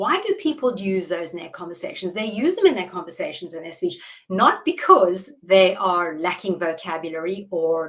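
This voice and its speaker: A woman with a South African accent speaks at a medium pitch, her pitch rising and falling in an ordinary way. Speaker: public speaking coach. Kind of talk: interview. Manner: deliberate, measured pace.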